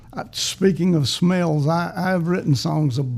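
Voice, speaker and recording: A man talks at a fairly slow pace in a somewhat breathy voice with a fairly high pitch. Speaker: podcast host. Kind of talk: casual chat.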